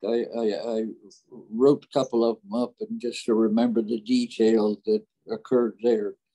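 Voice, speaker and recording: With an American accent, a man speaks in a dark, mellow tone and a flat, monotone delivery over a quiet background. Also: moderate pace. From California, USA. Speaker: war veteran, WWII paratrooper. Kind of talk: interview answer, war memories. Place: home room. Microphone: video call.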